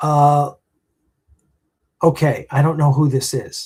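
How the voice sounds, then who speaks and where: A man with a fairly high pitch speaks in a dark, mellow, somewhat breathy tone. His pace is very slow and his intonation monotone and flat. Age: 60s. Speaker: independent film producer. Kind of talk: live stream chat answering viewer comments. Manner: halting, many fillers.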